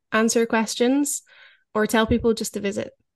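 Against a quiet background, a woman speaks at a moderate pace in a monotone, flat intonation, with a dry, close sound and no echo. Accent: Scottish. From Scotland. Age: 30s. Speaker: author and former orca trainer. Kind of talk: interview conversation.

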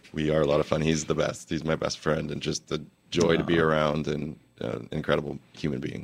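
A man with a very deep, low voice speaks at a fairly quick pace in a flat monotone, with vocal fry. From New Jersey. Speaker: bakery co-founder. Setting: studio.

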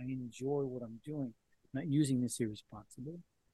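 In a dry, close recording with no echo, a man with a fairly high pitch talks at a fairly quick pace with ordinary pitch variation. His tone is dark and mellow, and somewhat breathy. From Colombia. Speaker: microdosing advocate and former journalist. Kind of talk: podcast interview.

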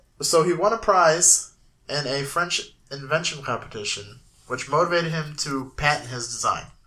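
Bright and sharp in tone, a man's voice sits at a fairly high pitch. He moves at a moderate pace with lively intonation. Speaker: podcast host. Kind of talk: casual comedic banter podcast. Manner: animated.

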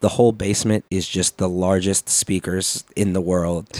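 A man speaks with a very deep, low pitch in an American accent. The sound is dry and close, with no echo. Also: very clean recording, silent background. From Chicago, US Midwest. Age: 20s. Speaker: DJ and content creator. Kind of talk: casual chat.

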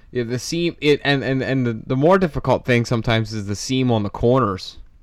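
A man with an ordinary speaking voice talks at a fairly quick pace. His pitch is medium with ordinary variation, in a very clean recording with a silent background. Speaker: podcast co-host, model railroader. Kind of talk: casual interview chat.

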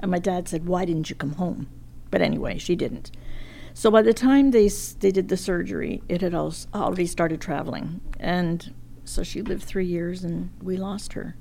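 A woman's dark, mellow voice with vocal fry and ordinary pitch variation. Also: fairly low pitch for a woman, moderate pace. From England, raised in Montreal. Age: 80s. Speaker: grandmother guest sharing life stories. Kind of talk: casual interview chat.

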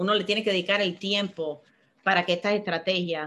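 A woman with a bright, sharp tone and medium pitch talks with fairly even intonation on a very clean recording with a silent background. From Miami, US (born in Cuba). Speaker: banking executive. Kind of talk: interview. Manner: halting, frequent fillers and repetitions.

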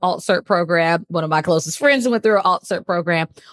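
Animated in tone, a woman with an American accent and fairly low pitch talks at a fairly quick pace with ordinary pitch variation, in a dry, close sound with no echo. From US Midwest, Detroit area. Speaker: assistant principal, educator. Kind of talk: podcast interview.

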